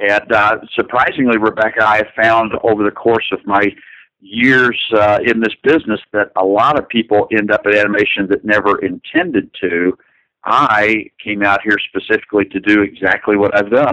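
In an American accent, a man speaks at a fairly low pitch with a bright, sharp tone, fairly even intonation and very even loudness, in a dry, close sound with no echo over a quiet background. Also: moderate pace. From US South, north central Kentucky. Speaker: animator. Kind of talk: interview.

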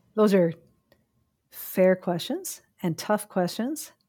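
A woman speaks with a Chicago accent in a dark, mellow tone at a medium pitch. The recording is very clean, with a silent background. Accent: Chicago American. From US Midwest, Chicago. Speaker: philosophy professor. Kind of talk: interview.

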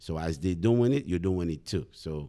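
This man speaks at a moderate pace in a very deep, low pitch, his intonation lively. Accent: Haitian. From Haiti. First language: Haitian Creole. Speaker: math teacher. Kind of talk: interview.

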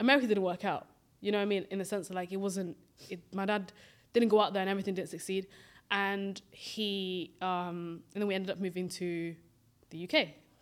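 With a British accent, a woman talks at a fairly quick pace, her medium-pitched voice keeping a fairly even intonation. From grew up in the UK from age nine, Swedish-born, Somali family. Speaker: podcast co-host. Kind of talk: casual chat.

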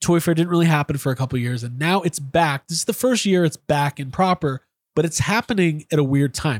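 With an unremarkable speaking voice, a fairly high-pitched man talks at a moderate pace with ordinary pitch variation, recorded very cleanly against a silent background with a dry, close sound and no echo. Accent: American. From Chicago, US Midwest. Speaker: podcast host and toy collector. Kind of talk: casual chat.

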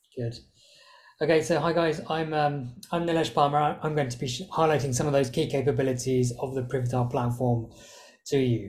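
A man with a British accent speaks at a fairly high pitch, his voice somewhat breathy. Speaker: software product specialist. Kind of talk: product demo presentation.

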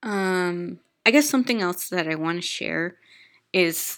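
Nervous in tone, a woman speaks at a very slow pace in a fairly low pitch with ordinary pitch variation. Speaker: podcast host with fibromyalgia. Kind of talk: solo personal podcast monologue. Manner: halting, filler-heavy, nervous; trying to speak slowly and calmly.

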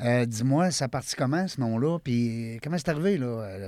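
A man with a Quebec accent at a medium pitch, fairly slow and lively in intonation, on a very clean recording with a silent background. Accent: Québécois French. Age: 50s. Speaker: podcast host. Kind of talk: casual interview.

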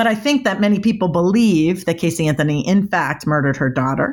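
A woman with an American accent uses an ordinary speaking voice and ordinary pitch variation. The recording is very clean, with a silent background. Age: 50s. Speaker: body language expert. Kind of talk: interview.

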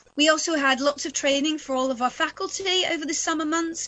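With an American accent, a woman speaks in fairly even intonation. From Texas (Houston). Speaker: rabbi and seminary principal. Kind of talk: interview. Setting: video call.

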